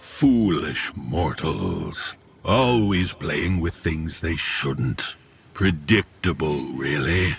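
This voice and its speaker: A man's put-on character voice, raspy and very deep and low, at a very slow pace. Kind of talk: horror audio drama. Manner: menacing, contemptuous, grandiose.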